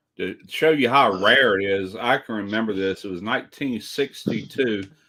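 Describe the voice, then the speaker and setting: Speaking at a moderate pace with a Southern US accent, a man uses a fairly low, bright, sharp voice with ordinary pitch variation. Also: very clean recording, silent background. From US South, South Mississippi. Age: 60s. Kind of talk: casual chat.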